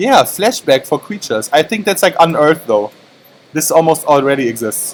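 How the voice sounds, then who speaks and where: Speaking at a moderate speed, a man's fairly high voice rises and falls across a very wide range. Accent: non-native. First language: not English. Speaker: esports commentator. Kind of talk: live commentary. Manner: casual, animated.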